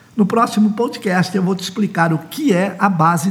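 A man speaks with a Brazilian accent. His voice is high-pitched, with ordinary pitch variation. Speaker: author and political consultant promoting his book. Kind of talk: promotional podcast monologue on elections.

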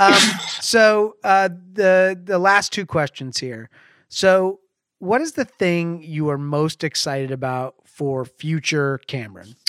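A man with a high voice talks very slowly and with lively intonation, in a very clean, dry, close recording with a silent background and no echo. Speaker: podcast host at a video production company. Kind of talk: casual interview. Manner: casual.

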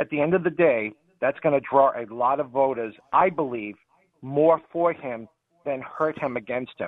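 A man with a Boston accent and fairly high pitch speaks at a moderate pace with ordinary pitch variation, in a dry, close sound with no echo. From New Hampshire, New England. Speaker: radio call-in caller. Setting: phone.

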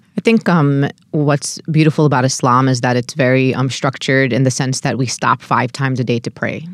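This voice has an American accent and a fairly quick pace with hardly any pauses. Pitch variation is ordinary, and the sound is dry and close with no echo. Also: woman, very deep, low pitch for a woman. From New York, Brooklyn. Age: 30s. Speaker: civil rights activist. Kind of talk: interview.

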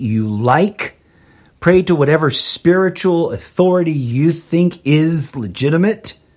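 Recorded very cleanly against a silent background, a man speaks at a fairly slow pace in a high pitch, his tone animated and his pitch variation ordinary. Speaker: independent podcast host. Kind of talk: live unscripted solo commentary show with a prayer-like rant. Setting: streamed live solo broadcast. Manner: animated, impassioned, ranting with wry self-aware humor; informal, with filler words and self-corrections.

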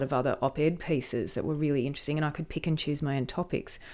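A woman with an Australian accent speaks in a very deep, low voice with ordinary pitch variation, recorded very cleanly against a silent background. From rural New South Wales, Australia. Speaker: screenwriter and media lecturer. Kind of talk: interview conversation.

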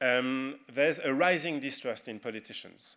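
A man with a French accent speaks in a bright, sharp tone at medium pitch, in a very clean recording with a silent background. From France. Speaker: political tech entrepreneur. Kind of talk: conference talk.

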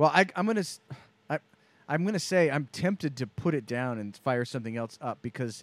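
In a very clean, dry, close recording with a silent background and no echo, a man with an unremarkable speaking voice and fairly high pitch talks at a fairly quick pace. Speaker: co-host or guest. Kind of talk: casual chat.

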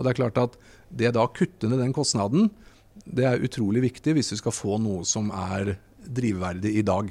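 A man speaks at medium pitch with a dark, mellow tone. The recording is very clean, with a silent background. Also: ordinary pitch variation, moderate pace. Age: 40s. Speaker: hydrogen company CEO. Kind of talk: interview. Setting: trade fair stand.

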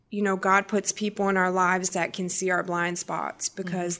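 On a very clean recording with a silent background, a woman with a plain, everyday voice speaks at a moderate pace. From Massachusetts. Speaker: recovering addict in rehab program. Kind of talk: testimony.

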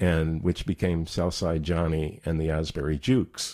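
Over a very clean recording with a silent background, a man with an American accent speaks at a fairly quick pace in a very deep, low voice with a dark, mellow tone. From US Northeast, New Jersey. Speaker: jazz and blues singer and harmonica player. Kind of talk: interview. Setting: studio. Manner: halting.

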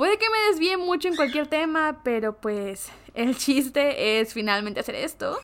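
A woman with lively intonation, talking at a moderate pace. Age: 20s. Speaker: podcaster / content creator. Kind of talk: casual vlog monologue. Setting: home bedroom recording.

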